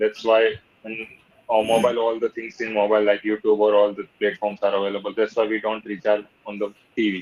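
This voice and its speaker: With a Gujarati accent, the speaker moves at a fairly quick pace in a monotone, flat intonation. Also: man, fairly low pitch for a man. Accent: Gujarati-accented Indian English. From Ahmedabad, Gujarat, India. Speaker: English learner. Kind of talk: conversation practice session. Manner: halting, hesitant non-fluent English.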